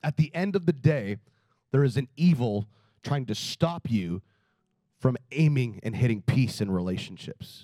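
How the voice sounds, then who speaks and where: The dry, close recording with no echo captures a man of medium pitch with a dark, mellow tone and very wide pitch swings. He talks at a fairly slow pace, leaving long, frequent pauses. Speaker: pastor. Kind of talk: sermon.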